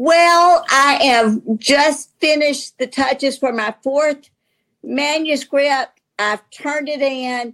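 The speaker has a Southern US accent. The pace is very slow and the intonation fairly even. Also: woman, high pitch for a woman. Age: 60s. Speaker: novelist. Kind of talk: casual interview.

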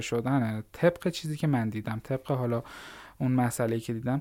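The background is silent and the recording very clean. A man speaks at a very fast pace. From Iran, Fars province (Larestan). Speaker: Python programmer and startup founder. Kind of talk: podcast interview.

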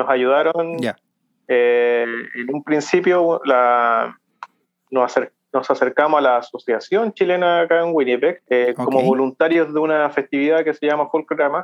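At a moderate pace, a man with a fairly high pitch speaks in a normal speaking voice with ordinary pitch variation. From Chile, Santiago. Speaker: accountant, immigrant. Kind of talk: interview.

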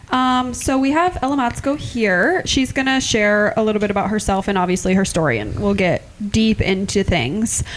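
A woman with an American accent speaks at a moderate pace in a fairly high pitch, with lively intonation and hardly any pauses. Her loudness stays very even over noticeable background noise. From Iowa. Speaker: podcast co-host. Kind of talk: casual chat.

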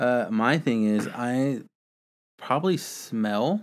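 In a very clean recording with a silent background, a man talks. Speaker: podcast host. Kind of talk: casual chat. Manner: casual, laid-back.

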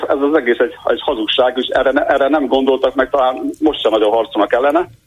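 A man is speaking. His pace is very fast. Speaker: caller. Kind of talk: call-in radio. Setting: phone call. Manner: halting.

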